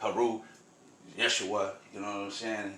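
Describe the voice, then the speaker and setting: Over noticeable background noise and audible room echo, a man with an American accent speaks at a fairly low pitch. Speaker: spiritual storyteller vlogger. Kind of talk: casual storytelling monologue. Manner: fast; animated.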